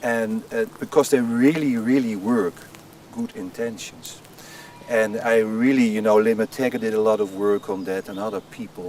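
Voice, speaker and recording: A man with a Dutch accent at a moderate pace, fairly even intonation and big swings in loudness, over noticeable background noise. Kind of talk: interview.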